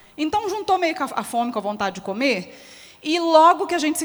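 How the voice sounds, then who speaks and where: In a Minas Gerais accent, a woman talks at a very fast pace with an animated tone. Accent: mineiro (Minas Gerais) Brazilian Portuguese. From Minas Gerais, Brazil. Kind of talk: closing talk at a symposium. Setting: stage with audience. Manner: animated, conversational.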